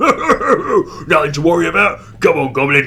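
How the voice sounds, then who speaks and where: A man speaks at a moderate pace in a put-on character voice. Light background noise is present. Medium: read story. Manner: loud, brash.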